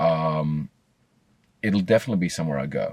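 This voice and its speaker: On a very clean recording with a silent background, a man with an Australian accent and a very deep, low pitch talks at a fairly quick pace. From Australia (Sydney, Blacktown). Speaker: psychology student. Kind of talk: interview answer. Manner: casual, hesitant.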